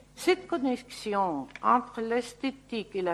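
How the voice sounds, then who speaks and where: A woman speaks at a very slow pace with a Spanish accent. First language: Spanish (speaking French). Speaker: landscape architect. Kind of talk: lecture. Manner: halting.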